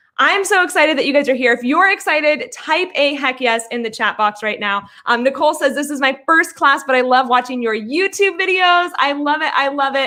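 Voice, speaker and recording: Her raised, projected voice sits at a high pitch with lively intonation. The woman moves at a fairly quick pace with hardly any pauses. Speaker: online business coach. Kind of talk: live webinar class. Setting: livestream. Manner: fast; animated.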